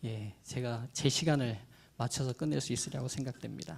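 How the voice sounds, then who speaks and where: A man is speaking. His pace is moderate. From Jeolla, South Korea. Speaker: pastor. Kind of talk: lecture. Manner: formal.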